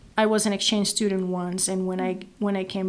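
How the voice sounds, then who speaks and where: A woman in a Venezuelan accent speaks with a medium pitch and monotone, flat intonation, on a very clean recording with a silent background. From Venezuela, Maracaibo. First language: Spanish. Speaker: nonprofit executive director. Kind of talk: interview.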